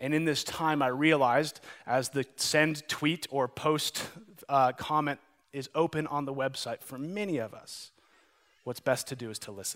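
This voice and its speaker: A man with an American accent and an ordinary speaking voice talks at a moderate pace and a fairly high pitch, with ordinary pitch variation and big swings in loudness. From Montana. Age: 30s. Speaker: pastor. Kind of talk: sermon.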